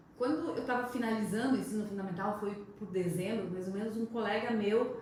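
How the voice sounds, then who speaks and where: A woman's fairly even intonation at a moderate pace, amid noticeable background noise and audible room echo. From southern Brazil, rural Rio Grande do Sul (Coqueiro Baixo). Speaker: sales manager. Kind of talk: interview.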